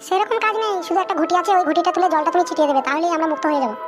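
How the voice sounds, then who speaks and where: A squeaky, cartoonish character voice races along at a very fast pace. Clear background noise can be heard. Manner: calm, reassuring.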